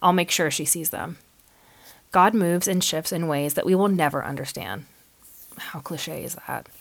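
This robotic woman's voice sits fairly low, with fairly even intonation, big swings in loudness, a moderate pace and long, frequent pauses. The recording is very clean, with a silent background. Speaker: podcast host. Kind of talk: reading a prepared update from a script. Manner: somewhat robotic, scripted.

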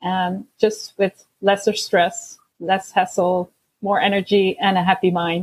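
Speaking at a fairly slow pace, a woman with a Dutch accent has a medium-pitched, somewhat breathy voice and a monotone, flat intonation, recorded with a dry, close sound with no echo. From Belgium. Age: 30s. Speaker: life coach. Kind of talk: casual interview. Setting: video call.

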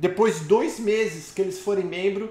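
With a Brazilian accent, a man speaks at a moderate pace and high pitch with ordinary pitch variation over noticeable background noise. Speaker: live stream host and immigration consultant. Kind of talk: live call-in Q&A, casual. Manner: animated, joking.

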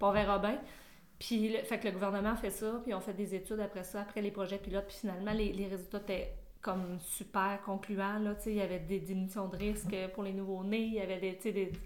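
In a Quebec accent, a woman talks at a fairly quick pace and medium pitch, with audible room echo around her. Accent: Québécois French. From Quebec, Sherbrooke. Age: 40s. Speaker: midwife. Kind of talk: interview. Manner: animated.

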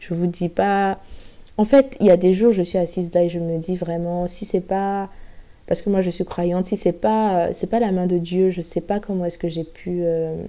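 A woman's fairly low voice at a fairly slow pace, with fairly even intonation. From Côte d'Ivoire, Abidjan. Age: 20s. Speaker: podcast host. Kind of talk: personal testimony. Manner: hesitant.

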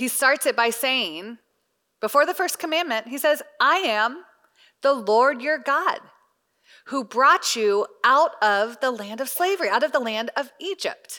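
With an American accent, a raised, projected voice delivers lively intonation and a bright, sharp tone at a fairly slow pace. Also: woman, high pitch for a woman. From US South. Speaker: Bible study teacher. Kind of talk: Bible teaching to a women's group.

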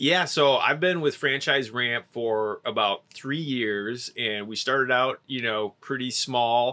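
The voice is bright and sharp in tone, with ordinary pitch variation at a very slow pace. The recording is very clean, with a silent background. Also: man, medium pitch for a man. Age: 30s. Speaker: marketer and filmmaker. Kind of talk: casual interview. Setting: in a van.

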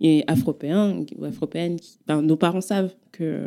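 A woman speaks in a very deep, low voice with a dark, mellow tone. Her pitch varies in an ordinary way. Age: 20s. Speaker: performance artist and author. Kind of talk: testimony.

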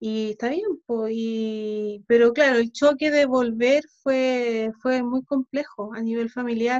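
The pace is very slow. The intonation stays fairly even. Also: woman. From Chile (arrived age seven, born Ukraine, early childhood Sweden). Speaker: musician and composer. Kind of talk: casual interview.

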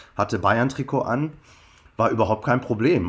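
A normal speaking voice with ordinary pitch variation keeps a moderate pace in a very clean recording against a silent background. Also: man. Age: 50s. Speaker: copywriter and football fan. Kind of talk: interview.

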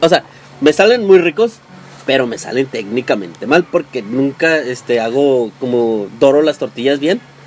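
A man's fairly high voice with very wide pitch swings, at a fairly slow pace with noticeable background noise. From Mexico, Tijuana. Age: 20s. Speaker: podcast co-host. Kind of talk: casual chat.

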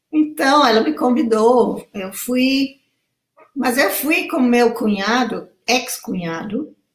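A woman's high voice moves at a very slow pace. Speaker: pilot and author. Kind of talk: casual interview. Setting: video call livestream.

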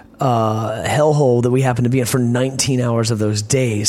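Over noticeable background noise, a man with an American accent speaks in a medium pitch. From Virginia, US South. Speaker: punk band lead singer. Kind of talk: casual interview. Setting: backstage at a concert venue. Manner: soft-spoken; reflective, rambling.

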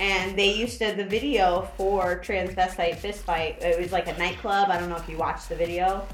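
Fairly even intonation comes through over music in the background. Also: woman, medium pitch for a woman, moderate pace. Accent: American. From Florida. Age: 30s. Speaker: podcast guest. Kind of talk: casual chat.

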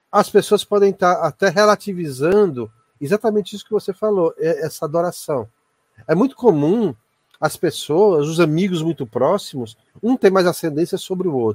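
A man speaks at a moderate pace with a high pitch and lively intonation. The sound is dry and close, with no echo. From Ceará, Brazil. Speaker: university professor and ufologist. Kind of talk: casual chat.

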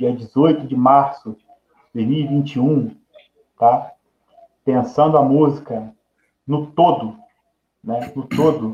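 A man talks in a somewhat breathy voice that sits fairly high. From Nova Friburgo, Rio de Janeiro state, Brazil. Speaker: music educator specializing in inclusion. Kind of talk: interview on live podcast.

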